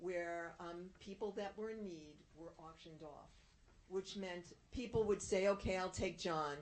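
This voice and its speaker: This is a plain, everyday voice. It moves along at a moderate pace. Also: woman. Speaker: town historian. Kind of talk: presentation.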